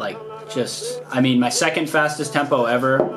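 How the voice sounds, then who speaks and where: A man is speaking. Noticeable background noise sits behind him. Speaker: vlogger. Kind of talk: casual vlog chat. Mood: pleased, quietly upbeat. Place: home room. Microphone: phone near.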